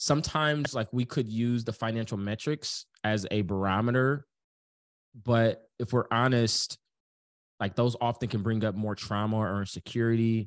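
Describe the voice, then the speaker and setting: Over a quiet background, a man speaks at a moderate pace in a medium pitch. He has an ordinary speaking voice, and his intonation stays fairly even. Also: dry, close sound with no echo. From US inner city. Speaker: business coach. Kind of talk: casual chat.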